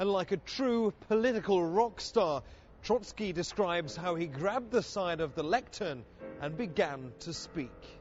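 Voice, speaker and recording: Over music in the background, a man with a high pitch talks fairly slowly with lively intonation. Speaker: TV news reporter. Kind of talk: TV news report narration.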